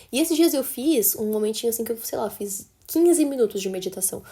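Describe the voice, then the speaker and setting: A woman speaks at a fairly quick pace. Her tone is dark and mellow. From interior of São Paulo state, Brazil (Assis). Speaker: podcast host. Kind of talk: casual chat. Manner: animated.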